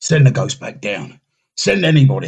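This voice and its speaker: A growling, put-on character voice at a moderate pace. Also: man. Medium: audio drama. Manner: harsh, commanding.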